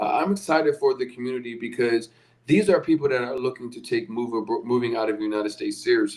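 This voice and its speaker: Over noticeable background noise, a man speaks very fast in a Philadelphia accent. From US Northeast, Philadelphia. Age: 30s. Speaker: podcast host, relocation coach. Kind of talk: live stream sales pitch. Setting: livestream. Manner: casual, with fillers.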